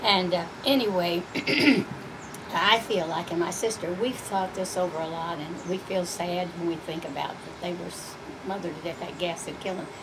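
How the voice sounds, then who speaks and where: Amid noticeable background noise and audible room echo, a woman with an American accent speaks with fairly even intonation. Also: fairly low pitch for a woman, moderate pace. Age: 80s+. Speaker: elderly interviewee, descendant of mining family. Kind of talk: oral history interview. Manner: halting, with frequent fillers.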